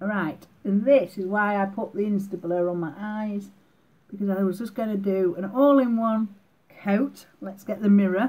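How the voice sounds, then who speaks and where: Somewhat breathy and dark, mellow in tone, a woman with a British accent speaks at a moderate pace with fairly even intonation. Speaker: beauty vlogger. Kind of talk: makeup tutorial. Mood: cheerful, playful. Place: home room. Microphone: webcam.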